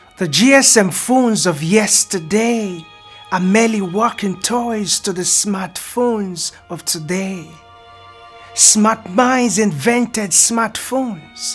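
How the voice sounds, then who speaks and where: Music plays behind a man with a high-pitched voice. He talks at a very slow pace with ordinary pitch variation. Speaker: spoken word poet. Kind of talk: spoken word poetry performance.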